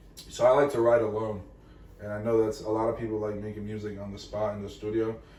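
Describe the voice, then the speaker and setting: A man's fairly low, monotone, flat voice at a very fast pace, with big swings in loudness, audible room echo, and noticeable background noise. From Venezuela, raised in Florida. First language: Spanish. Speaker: musician, rapper. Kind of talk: casual chat.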